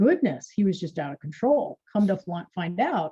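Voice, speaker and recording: A woman speaks in a somewhat breathy voice. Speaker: wellness practitioner. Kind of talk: casual chat.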